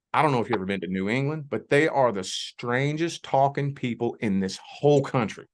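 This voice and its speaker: With a Southern US accent, a man talks at a fairly quick pace and medium pitch, with ordinary pitch variation, hardly any pauses, and a quiet background. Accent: Southern US accent, noticeable. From US South, southern Indiana / Louisville, Kentucky border. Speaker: life coach. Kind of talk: interview conversation.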